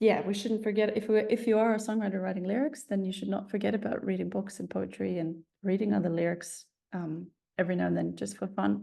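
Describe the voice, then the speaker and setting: Amid audible room echo, a woman with an Icelandic accent talks at a very fast pace. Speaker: songwriter. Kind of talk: online masterclass lecture. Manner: hesitant, many filler words.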